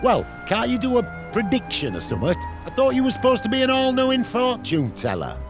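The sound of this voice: Over clear background music, a put-on character voice races along at a fairly quick pace with very wide pitch swings. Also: man, extremely high pitch for a man.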